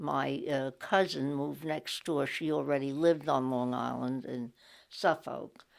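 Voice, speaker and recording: Speaking at a fairly slow pace, a woman has a New York accent. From New York City (Brooklyn). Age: 80s+. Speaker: interviewee sharing local history. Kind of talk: oral history interview. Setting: library recording booth. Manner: halting, frequent fillers.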